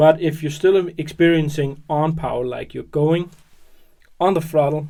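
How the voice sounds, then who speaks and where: The speaker mumbles. The pace is fairly slow. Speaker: hobby tutorial youtuber. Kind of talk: tutorial. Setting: at work. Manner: mumbling; hesitant with fillers.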